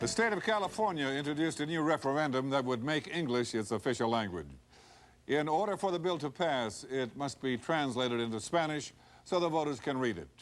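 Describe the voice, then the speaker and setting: A man talks at a fairly quick pace with lively intonation. He has a plain, everyday voice, fairly high in pitch. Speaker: comedy actor playing a news anchor.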